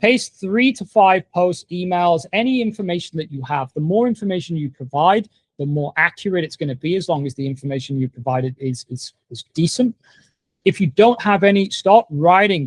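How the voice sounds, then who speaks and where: A man with an English accent talks at a moderate pace in a high pitch, his intonation lively and his loudness swinging widely, recorded with a dry, close sound and no echo. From England. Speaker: online marketing coach. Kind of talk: tutorial. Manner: casual, conversational.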